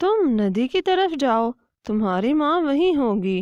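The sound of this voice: A woman uses a cartoonish character voice, high in pitch with very wide pitch swings. She speaks at a fairly slow pace.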